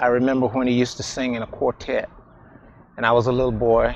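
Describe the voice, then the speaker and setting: A man's medium-pitched voice, fairly quick and monotone, with noticeable background noise. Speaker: family member, singer. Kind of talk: testimony.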